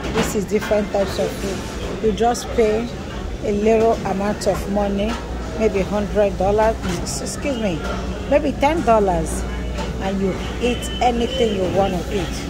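The speaker goes at a fairly slow pace with long, frequent pauses. Clear music plays in the background. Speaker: diner vlogger. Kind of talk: casual vlog chat. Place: shop. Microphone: phone near.

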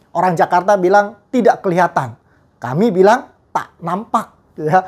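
The man's speech moves at a moderate pace against a quiet background. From Riau Islands, Indonesia (Tanjung Pinang area), Chinese-Indonesian; Riau Islands, Indonesia. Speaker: evangelist preacher; evangelist. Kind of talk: sermon. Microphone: lapel.

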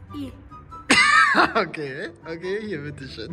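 Clear background music behind a man's speech. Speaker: prank vlogger. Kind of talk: casual vlog chat. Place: street. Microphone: phone near.

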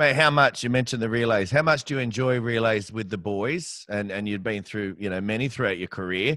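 A man speaks at a fairly quick pace with hardly any pauses, in a bright, sharp tone with ordinary pitch variation. The sound is dry with no echo over a quiet background. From Australia, Campbelltown (Western Sydney); New South Wales, Australia. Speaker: podcast host. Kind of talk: interview. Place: home room. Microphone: studio mic.

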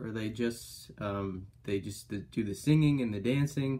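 This man speaks at a fairly slow pace. His pitch varies in an ordinary way. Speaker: music reaction vlogger. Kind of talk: casual reaction commentary. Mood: amazed, amused. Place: home room. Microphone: webcam.

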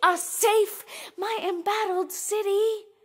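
At a very slow pace, a woman raises and projects her voice with a bright, sharp tone. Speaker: poet and spoken word performer. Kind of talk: spoken word poetry performance.

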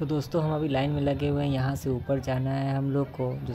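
Over noticeable background noise, a man talks at a fairly quick pace in a monotone, flat delivery. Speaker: vlogger. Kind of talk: casual vlog chat. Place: street. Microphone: phone near.

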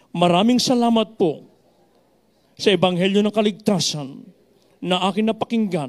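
Against a quiet background, a man with a high pitch talks at a moderate pace with ordinary pitch variation and long, frequent pauses. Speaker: preacher. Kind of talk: sermon with altar call and closing prayer; sermon. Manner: earnest, urgent, exhorting the congregation to be baptized. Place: church. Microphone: handheld.

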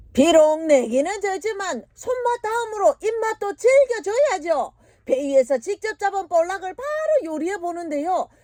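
With a Busan accent, a woman speaks at an extremely high pitch and a fairly slow pace, her pitch swinging very widely. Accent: Busan dialect (Gyeongsang). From South Korea, Busan region. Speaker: voice actor. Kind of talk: TV documentary narration. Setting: studio.

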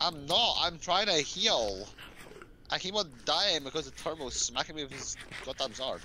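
A man with vocal fry and lively intonation speaks at a moderate pace, the sound dry with no echo and light background noise behind him. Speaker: gamer; streamer. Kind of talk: casual chat. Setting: online voice chat. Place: home room. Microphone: headset.

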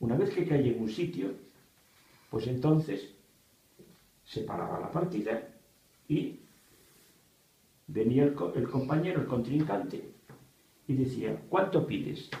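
Amid strong room echo, a man with vocal fry and a dark, mellow tone speaks at a medium pitch and a fairly slow pace, with lively intonation and long, frequent pauses.

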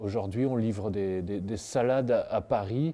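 At a fairly slow pace, a man speaks with a dark, mellow tone and ordinary pitch variation. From Brittany, northern Finistère; Brittany. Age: 40s. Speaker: organic produce wholesaler. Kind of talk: interview monologue. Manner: halting, many repetitions and fillers. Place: street.

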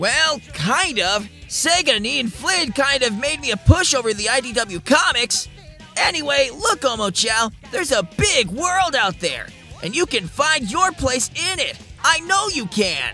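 A man does a put-on character voice at a moderate pace. Clear music plays in the background. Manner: brash, irritable, sarcastic.

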